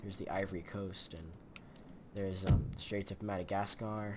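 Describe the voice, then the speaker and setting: An American accent with audible room echo. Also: man. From Michigan, US. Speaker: gaming YouTuber. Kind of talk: let's play commentary. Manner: halting, many fillers.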